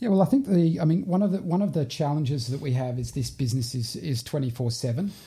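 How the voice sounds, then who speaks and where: Speaking very fast with hardly any pauses, a man uses lively intonation in a dark, mellow, somewhat breathy voice at a fairly high pitch. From UK, expat childhood abroad then Australia. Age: 40s. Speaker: business owner. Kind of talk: interview. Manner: hesitant, many fillers.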